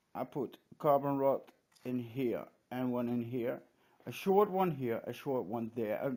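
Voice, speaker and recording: With a Dutch accent, a voice of dark, mellow tone speaks at a fairly slow pace with lively intonation on a very clean recording with a silent background. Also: man. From Netherlands. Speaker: hobbyist vlogger. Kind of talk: casual show-and-tell vlog. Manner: halting, many hesitations.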